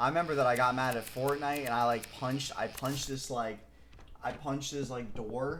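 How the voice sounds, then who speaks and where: Audible room echo surrounds a man with an American accent who talks at a fairly quick pace in a medium pitch. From Michigan. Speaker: video game streamer. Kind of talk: casual chat. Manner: animated.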